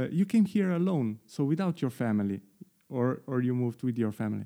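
A man speaks with lively intonation and a dark, mellow tone, with a Slovenian accent. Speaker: podcast host. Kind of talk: interview. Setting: video call.

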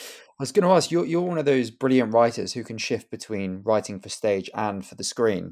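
In a very clean recording with a silent background, a man speaks at medium pitch in an unremarkable speaking voice, his intonation lively and his loudness swinging widely. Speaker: podcast host and actor. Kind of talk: interview conversation.

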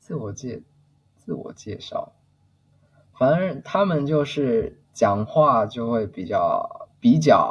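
His delivery is very slow. The man's volume rises and falls in big swings. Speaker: HR employee. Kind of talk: casual interview. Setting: remote call.

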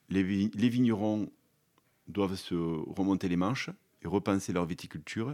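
The voice has a dark, mellow tone, moving at a fairly slow pace with ordinary pitch variation and long, frequent pauses. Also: man, fairly low pitch for a man. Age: 50s. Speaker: vine nurseryman. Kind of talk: interview. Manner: halting.

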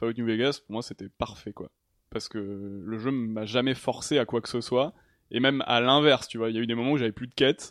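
A man with a plain, everyday voice at a medium pitch speaks at a fairly quick pace with fairly even intonation, recorded dry and close with no echo over a quiet background. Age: 30s. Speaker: video game programmer. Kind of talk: casual chat.

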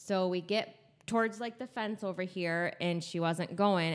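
A woman with a plain, everyday voice speaks at a fairly slow pace, her medium pitch moving with ordinary variation. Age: 40s. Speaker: host's mother. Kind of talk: casual chat. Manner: laughs often.

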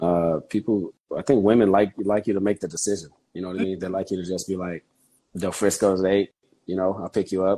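A man's very deep, low voice, dark and mellow in tone, fairly quick and flat in a monotone, against a quiet background. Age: 40s. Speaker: construction project manager. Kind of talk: casual chat.

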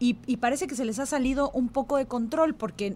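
Speaking with fairly even intonation, a woman holds a high pitch. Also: very clean recording, silent background. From Yucatán Peninsula, Mexico. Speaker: radio host. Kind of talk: radio interview.

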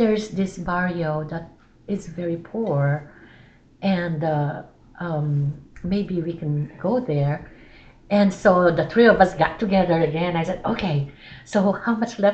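Somewhat breathy and fairly low in pitch, a woman speaks at a fairly slow pace. Her pitch variation is ordinary. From Philippines. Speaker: church missionary. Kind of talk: casual chat.

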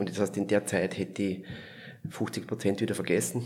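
A man talks with a Viennese accent. His pitch sits fairly low. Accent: Viennese Austrian dialect. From Lower Austria, near Vienna. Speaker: palliative care physician. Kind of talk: interview conversation.

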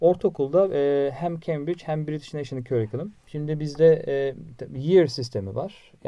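A man talks at a fairly slow pace and a fairly high pitch, with ordinary pitch variation. There is noticeable background noise. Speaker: biology teacher. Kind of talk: interview. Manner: halting, many fillers.

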